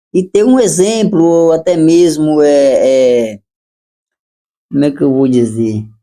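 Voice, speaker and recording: Long, frequent pauses mark this man's very slow pace. His voice has a dark, mellow tone, a fairly high pitch and lively intonation. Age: 40s. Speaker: carpenter, small business owner. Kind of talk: casual interview chat.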